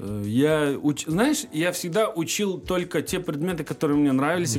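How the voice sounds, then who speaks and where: Here a man is talking. His pace is moderate. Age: 20s. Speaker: blogger. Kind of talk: casual chat.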